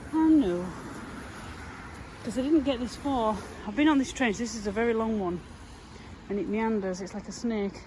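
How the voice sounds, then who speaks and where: A woman with a fairly high pitch talks at a moderate pace with lively intonation and long, frequent pauses, amid noticeable background noise and audible room echo. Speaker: metal detecting vlogger. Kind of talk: casual vlog narration. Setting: outdoors.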